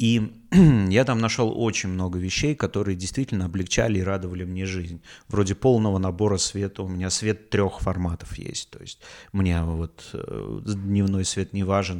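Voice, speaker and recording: Recorded very cleanly against a silent background, a man with a very deep, low pitch talks at a moderate pace with ordinary pitch variation and big swings in loudness. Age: 40s. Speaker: podcaster. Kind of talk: casual monologue. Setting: home, rented apartment. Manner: halting.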